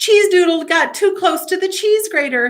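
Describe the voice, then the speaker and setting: A squeaky, put-on character voice moves at a moderate pace with ordinary pitch variation. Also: woman. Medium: read story.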